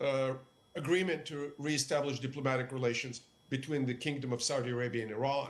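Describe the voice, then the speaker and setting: Fairly high-pitched, a man with a Russian accent speaks with fairly even intonation. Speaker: political analyst. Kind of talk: TV news interview.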